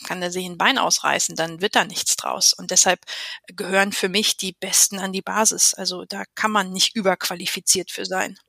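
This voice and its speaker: A woman's bright, sharp voice at a medium pitch, fairly slow and fairly even in intonation, in a dry, close sound with no echo. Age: 40s. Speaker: riding instructor and coach educator. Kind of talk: interview.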